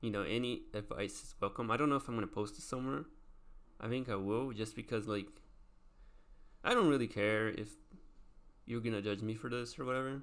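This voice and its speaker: A man with a non-native accent, medium pitch and fairly even intonation, at a fairly quick pace with long, frequent pauses. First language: not English. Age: 20s. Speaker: vlogger. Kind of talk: casual monologue. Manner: halting.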